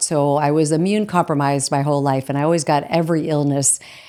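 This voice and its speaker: A woman with an American accent speaks at a moderate pace. Her pitch is very deep and low, her tone dark and mellow. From Arizona. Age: 60s. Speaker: holistic nutrition coach. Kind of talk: interview.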